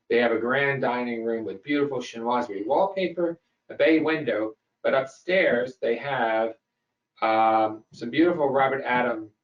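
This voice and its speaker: A man with a medium pitch speaks at a moderate pace while music plays in the background. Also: ordinary pitch variation. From US South (Memphis, Tennessee). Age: 60s. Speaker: host. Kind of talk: lecture.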